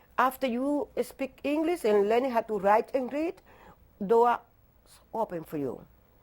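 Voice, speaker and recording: This woman has a strong non-native accent and a fairly high pitch. She talks at a fairly slow pace with lively intonation, in a very clean recording with a silent background. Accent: heavy non-native English. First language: not English. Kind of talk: testimony.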